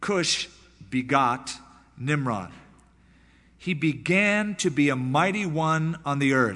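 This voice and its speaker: In a room with audible echo, a man with a fairly high pitch and a bright, sharp tone speaks very slowly with lively intonation, very even loudness, and long, frequent pauses. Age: 30s. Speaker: pastor. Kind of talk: sermon.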